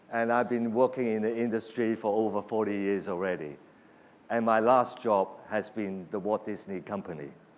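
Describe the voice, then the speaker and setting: A man with a fairly low pitch talks at a moderate pace. He uses a normal speaking voice with ordinary pitch variation. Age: 60s. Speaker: creative industry executive. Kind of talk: keynote speech.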